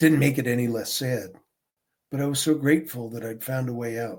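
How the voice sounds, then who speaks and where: A somewhat breathy man with an American accent, medium pitch and a fairly quick pace. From Pennsylvania, US. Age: 70s. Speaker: recovering alcoholic sharing his story. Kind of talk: interview testimony. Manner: casual, conversational.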